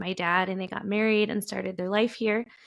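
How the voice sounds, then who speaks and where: The speech has monotone, flat intonation. It is a very clean recording with a silent background. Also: woman. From Chicago, US. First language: Spanish. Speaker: writer and editor. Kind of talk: personal storytelling interview. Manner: halting, many fillers.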